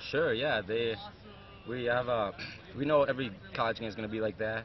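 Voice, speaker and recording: Over noticeable background noise, a man talks with ordinary pitch variation in a dry sound with no echo. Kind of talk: interview answer. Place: stadium.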